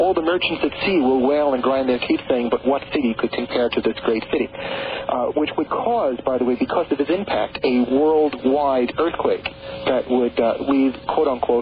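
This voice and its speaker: Over noticeable background noise, a man with a slight New York accent speaks at a moderate pace, his pitch fairly high, his pitch variation ordinary and his loudness very even. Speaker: author on prophecy and the Great Pyramid. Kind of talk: radio interview. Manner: halting, many repeated words.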